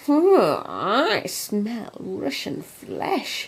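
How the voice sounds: This female-sounding voice is a croaky, put-on character voice with a fairly high pitch.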